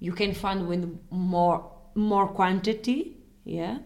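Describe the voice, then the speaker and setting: The speech comes in a European Portuguese accent at a very slow pace, with fairly even intonation and audible room echo. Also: woman. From Portugal. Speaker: language teacher. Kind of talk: language lesson; reading aloud.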